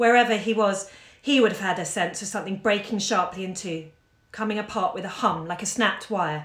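The speaker does plain reading aloud.

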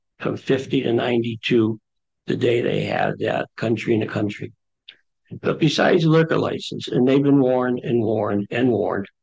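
A man speaks over a quiet background with vocal fry. His pitch varies in an ordinary way. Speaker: resident speaking at public comment. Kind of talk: public comment at town meeting. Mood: concerned, complaining. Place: meeting room.

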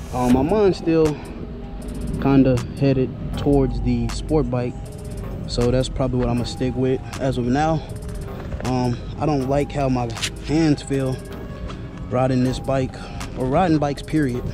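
Long, frequent pauses break up the speech. Clear music plays in the background of a dry sound with no echo. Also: moderate pace. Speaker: motorcycle vlogger. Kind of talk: casual vlog chat. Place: street. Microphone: helmet.

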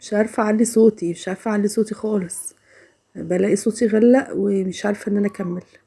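The speaker has an Egyptian accent and fairly even intonation. The pace is fairly quick, and the background is quiet. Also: woman, medium pitch for a woman. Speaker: home vlogger. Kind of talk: casual vlog narration. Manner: quiet, unable to raise voice. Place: kitchen.

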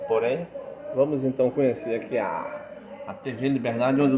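Moderately paced male speech over clearly noticeable background noise. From Brazil, Brasília. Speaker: truck driver vlogger. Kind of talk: casual vlog chat. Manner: animated; loud. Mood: joking, upbeat. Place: office. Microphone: phone near.

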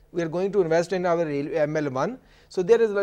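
A man speaks in a high pitch with a dark, mellow tone. His pitch varies in an ordinary way against a quiet background. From Pakistan. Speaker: economist. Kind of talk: TV panel discussion. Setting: studio. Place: studio.

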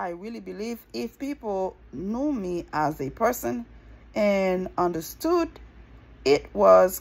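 A woman at medium pitch uses lively intonation with some vocal fry.

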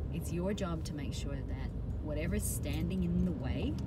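A woman speaks at a fairly slow pace, with music in the background. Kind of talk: casual advice talk to camera. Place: car. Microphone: phone near.

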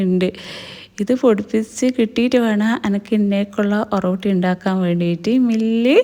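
A woman with a North Malabar accent speaks at a fairly high pitch in a dark, mellow tone with fairly even intonation. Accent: Kannur Malayalam dialect. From India, Kannur, Kerala. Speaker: home vlogger. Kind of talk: casual vlog narration. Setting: home kitchen.

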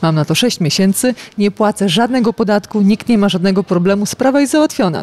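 Her voice is a plain, everyday voice, a woman speaking at a medium pitch. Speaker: lawyer. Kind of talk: interview. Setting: outdoor business forum. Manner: explanatory.

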